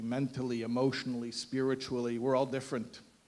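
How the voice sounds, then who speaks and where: A man speaks at a moderate pace with medium pitch and a plain, everyday voice. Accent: American. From United States. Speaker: rabbi, guest speaker. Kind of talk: speech to audience with humor. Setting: event hall with live audience.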